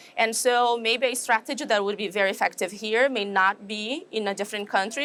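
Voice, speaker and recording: A woman with a Brazilian accent talks at a fairly quick pace, using a medium pitch and ordinary pitch variation. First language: Portuguese. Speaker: animal nutrition professor. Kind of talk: interview. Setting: trade show.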